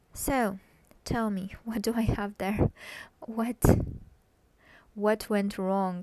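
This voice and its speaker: Speaking very slowly, a woman keeps a medium pitch and fairly even intonation. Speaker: web developer and coding tutorial creator. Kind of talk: tutorial. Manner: hesitant, many fillers.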